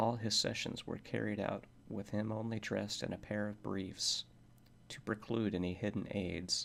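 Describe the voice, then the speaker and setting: On a very clean recording with a silent background, a soft-spoken man with fairly low pitch and vocal fry talks at a moderate pace in a monotone, flat intonation. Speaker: ASMR reader. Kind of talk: horror story reading.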